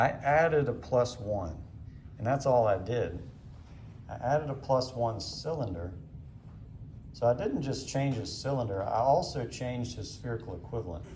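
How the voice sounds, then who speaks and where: A man with a dark, mellow tone speaks at medium pitch and a moderate pace, his lively intonation touched by vocal fry, with long, frequent pauses and audible room echo. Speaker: ophthalmology teacher. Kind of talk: lecture demonstration.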